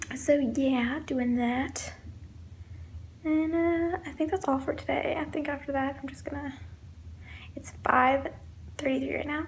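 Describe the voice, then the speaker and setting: Soft-spoken and at a fairly slow pace, a woman talks with long, frequent pauses in a space with audible room echo. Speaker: vlogger. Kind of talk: casual vlog monologue. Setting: indoors at home.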